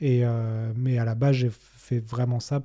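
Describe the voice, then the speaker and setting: A man speaks in a somewhat breathy voice with a dark, mellow tone and monotone, flat intonation. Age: 30s. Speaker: sales director and podcaster. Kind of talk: interview. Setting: video studio.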